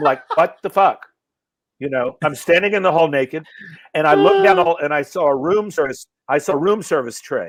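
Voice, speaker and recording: An animated man talks at a fairly quick pace, with fairly high pitch and ordinary pitch variation. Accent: American. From US South, North Carolina (Asheville). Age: 60s. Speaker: comedian. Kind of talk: casual chat. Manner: animated storytelling.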